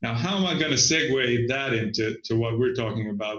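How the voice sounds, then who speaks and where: Speaking with a Finnish accent, a man uses lively intonation at medium pitch. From Finland. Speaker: business consultant. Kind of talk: casual interview.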